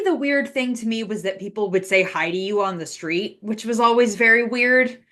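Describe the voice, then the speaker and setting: A woman with an American accent speaks at a moderate pace with hardly any pauses. She has a normal speaking voice, fairly high in pitch, with ordinary pitch variation. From Washington DC. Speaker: video game writer. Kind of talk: casual interview chat.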